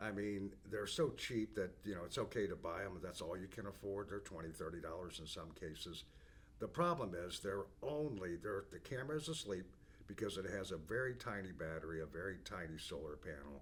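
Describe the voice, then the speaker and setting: This man's pitch sits very deep and low. His intonation is lively. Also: fairly quick pace. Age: 60s. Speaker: business owner presenting company products. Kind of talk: product overview monologue. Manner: casual, with frequent fillers and restarts.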